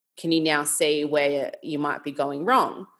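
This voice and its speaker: At a moderate pace, a woman with an Australian accent speaks in a very deep, low pitch. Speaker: nutrition coach. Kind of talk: casual chat.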